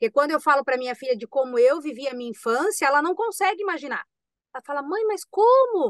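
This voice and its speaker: A woman with a high voice and lively intonation talks fairly quickly, the sound dry with no echo and the background quiet. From Santa Catarina, Brazil (Itajaí). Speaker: actress, podcast guest. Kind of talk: casual interview. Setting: video call. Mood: earnest, emotional. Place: home room. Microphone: video call.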